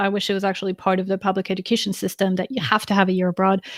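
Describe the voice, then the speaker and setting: A woman's very fast speech in a French accent, medium in pitch, on a very clean recording with a silent background. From France. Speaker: interview guest. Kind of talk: live interview.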